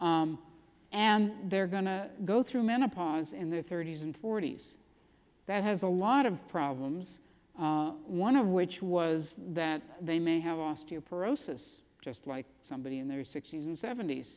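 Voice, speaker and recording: A woman with an unremarkable speaking voice talks at a fairly low pitch. Her intonation is lively, though her pace is fairly slow. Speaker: physician researcher. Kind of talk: lecture.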